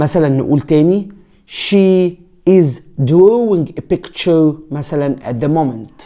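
Against a quiet background, the speaker moves at a fairly slow pace with ordinary pitch variation. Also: man, fairly high pitch for a man. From Egypt. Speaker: English teacher. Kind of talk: tutorial. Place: home room. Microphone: lapel.

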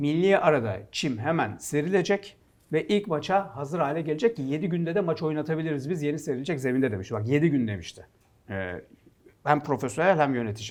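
A man with a normal speaking voice, fairly high in pitch, talks at a fairly quick pace with lively intonation against a quiet background. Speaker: football pundit. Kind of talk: casual sports talk show.

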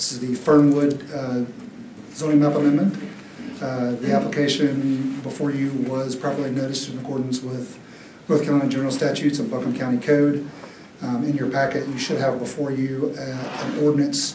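A man talks in a monotone, flat intonation, with light background noise and audible room echo. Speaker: presenter. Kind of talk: formal staff report presentation. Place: hall.

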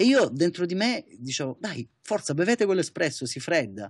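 A man's fairly quick, lively delivery against a quiet background. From Italy. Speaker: barista, coffee competitor. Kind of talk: interview. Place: office. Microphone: webcam.

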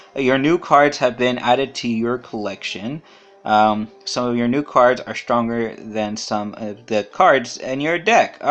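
Using a put-on, robotic character voice, a man speaks at a fairly slow pace with a medium pitch. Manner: robotic, monotone.

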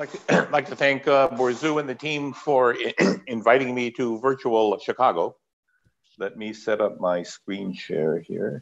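A man's medium-pitched, fairly slow speech, with vocal fry and ordinary pitch variation.

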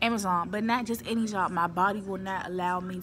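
At a moderate pace, a woman speaks against noticeable background noise. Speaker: warehouse worker vlogger. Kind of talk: casual vlog chat. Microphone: phone near.

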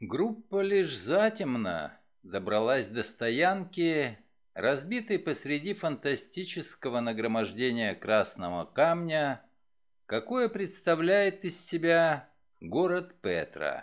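A man's fairly high voice with very wide pitch swings at a very slow pace, over a quiet background. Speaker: actor. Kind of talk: audiobook reading.

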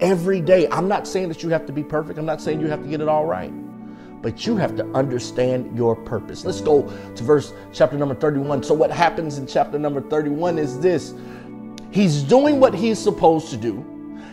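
With clear music playing behind him, a man talks at a fairly quick pace in an energetic tone. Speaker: preacher. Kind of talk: sermon delivered to a congregation. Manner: energetic, emphatic, conversational. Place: studio. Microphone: lapel.

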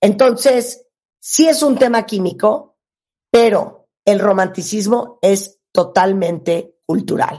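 Against a quiet background, a woman speaks at a very slow pace with a medium pitch, a somewhat breathy, dark, mellow tone and lively intonation. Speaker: radio host. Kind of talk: host commentary in Spanish, mixed with English. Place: studio.

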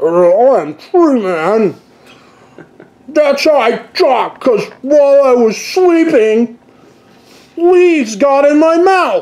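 Using a put-on character voice that sounds female and high-pitched, the speaker goes very slowly with long, frequent pauses. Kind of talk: playful character voice in studio update vlog. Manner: goofy, comedic. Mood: jokey, playful.

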